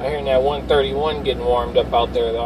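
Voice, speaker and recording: Noticeable noise sits behind a man as he talks. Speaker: CB radio operator. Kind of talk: radio chatter. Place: car.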